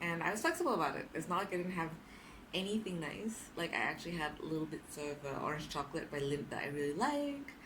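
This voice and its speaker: Talking at a very fast pace with very wide pitch swings, a woman with a fairly low pitch is heard against audible room echo. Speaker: vlogger. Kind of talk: casual vlog monologue. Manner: loud; talkative, lots of fillers.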